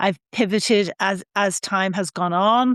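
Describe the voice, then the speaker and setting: Over a quiet background, a woman speaks very slowly with an Irish accent, a medium pitch and fairly even intonation, the sound dry and close with no echo. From Ireland, Donegal island. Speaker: sustainability scientist. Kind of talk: interview conversation.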